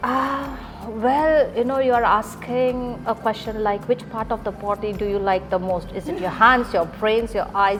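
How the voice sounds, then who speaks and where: The speaker keeps a moderate pace with hardly any pauses and ordinary pitch variation, while music plays in the background. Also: woman, fairly high pitch for a woman. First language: not English. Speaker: English teacher. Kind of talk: interview.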